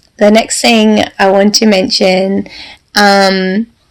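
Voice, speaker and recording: With an Australian accent, a woman talks at a medium pitch. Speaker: podcast host, neurodiversity coach. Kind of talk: solo podcast talk.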